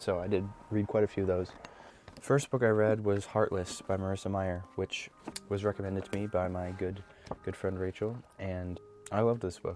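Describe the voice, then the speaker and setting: Over music in the background, a soft-spoken man talks at a fairly quick pace with a very deep, low pitch and monotone, flat intonation. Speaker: book vlogger. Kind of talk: casual chat. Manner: halting.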